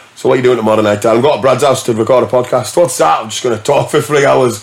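Very fast speech comes from a man with a northern English accent and ordinary pitch variation. Noticeable background noise is present. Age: 40s. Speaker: DJ. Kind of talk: casual chat.

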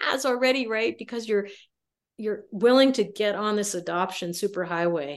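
A woman of medium pitch speaks at a moderate pace in an ordinary speaking voice against a quiet background. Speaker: adoption researcher and sociology professor. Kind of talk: interview.

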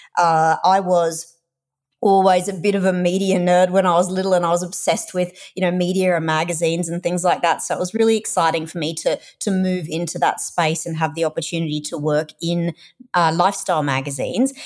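Over a very clean recording with a silent background, a woman talks at a fairly quick pace with fairly low pitch and fairly even intonation. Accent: Australian. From Australia. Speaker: content manager and digital nomad. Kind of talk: interview conversation.

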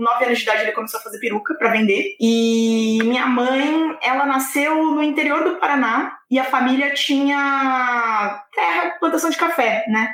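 Set in a room with audible echo, a woman speaks at a high pitch with lively intonation and hardly any pauses. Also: moderate pace. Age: 20s. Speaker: lawyer. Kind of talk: casual chat.

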